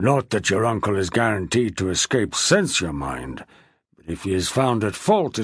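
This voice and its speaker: Using a put-on character voice, a man growls in a raspy, fairly low pitch at a moderate pace, with very wide pitch swings and big swings in loudness. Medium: read story. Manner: menacing, growling.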